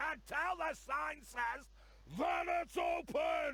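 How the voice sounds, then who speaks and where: Over light background noise, a man shouts in a put-on character voice at an extremely high pitch and a very slow pace. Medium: video game. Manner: brusque.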